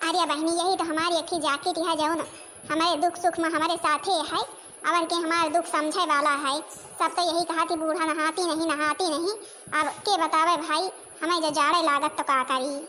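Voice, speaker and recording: Using a cartoonish character voice at an extremely high pitch, a woman speaks at a moderate pace with monotone, flat intonation and very even loudness, against clear background noise. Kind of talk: rustic comic dialect cartoon. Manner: rambling, complaining.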